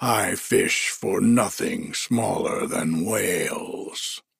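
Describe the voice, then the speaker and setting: A man puts on a gruff, raspy character voice and speaks at a very slow pace. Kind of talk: bedtime storybook reading. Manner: gruff, boastful, patronizing.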